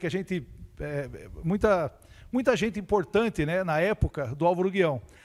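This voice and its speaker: A high-pitched male voice with ordinary pitch variation, on a very clean recording with a silent background. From São Paulo state, Brazil (São Carlos). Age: 60s. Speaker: university staff member, science educator. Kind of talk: interview. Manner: hesitant, many fillers.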